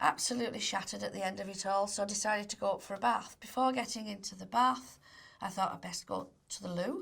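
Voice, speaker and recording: Here a woman talks at a fairly quick pace with a Cumbrian accent. Her pitch sits in the medium range. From northern England, Barrow-in-Furness, Cumbria. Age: 60s. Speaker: cancer patient. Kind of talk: testimony. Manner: conversational with hesitations.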